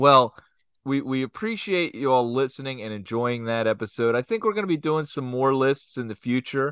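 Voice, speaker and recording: Speaking at a moderate pace, a man with a normal speaking voice and medium pitch uses lively intonation. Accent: American. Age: 40s. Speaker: podcast co-host. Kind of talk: casual chat.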